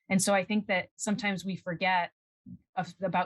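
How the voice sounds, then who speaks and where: The woman's pitch sits in the medium range. There is a somewhat breathy quality to her voice. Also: dry, close sound with no echo. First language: Spanish. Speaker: scientist. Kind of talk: interview. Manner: halting.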